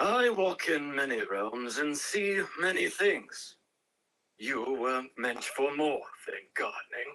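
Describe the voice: Using a put-on character voice, a man speaks slowly at medium pitch with a bright, sharp tone and lively intonation.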